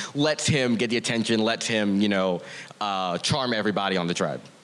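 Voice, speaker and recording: A man delivers his words fairly quickly, his pitch varying in an ordinary way, while noticeable noise runs underneath. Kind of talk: casual live chat on stage. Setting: stage with audience.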